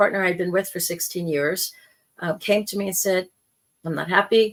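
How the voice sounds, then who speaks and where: This woman has an ordinary speaking voice at a medium pitch. Her pitch varies in an ordinary way. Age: 60s. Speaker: spiritual podcast host and life coach. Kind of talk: personal monologue podcast. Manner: conversational.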